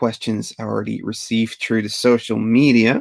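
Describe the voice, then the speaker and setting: A man speaking at a fairly slow pace. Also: dry, close sound with no echo. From Belgium (Flanders). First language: Dutch (Flemish). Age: 30s. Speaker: retro toy YouTuber. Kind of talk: live Q&A stream. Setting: livestream. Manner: casual, hesitant with many fillers.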